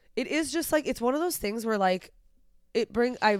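A woman talks at a very fast pace in an animated tone. The recording is very clean, with a silent background. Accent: slight Southern US. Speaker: podcast co-host. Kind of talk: casual chat.

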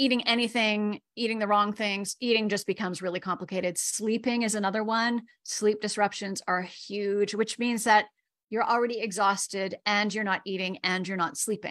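A woman with a plain, everyday voice speaks at a medium pitch and a moderate pace in a very clean recording with a silent background. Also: fairly even intonation. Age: 50s. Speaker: grief educator and coach. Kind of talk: interview.

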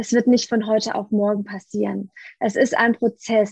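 With a quiet background and a dry, close sound with no echo, a woman at a fairly high pitch talks at a moderate pace in a somewhat breathy, monotone, flat voice. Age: 30s. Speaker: coach and family therapist. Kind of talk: interview.

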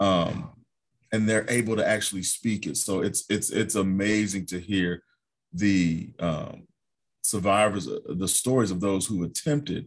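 A man speaks in a normal speaking voice, fairly low in pitch, at a fairly slow pace with ordinary pitch variation. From Ohio, US Midwest. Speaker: documentary filmmaker. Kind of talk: casual chat.

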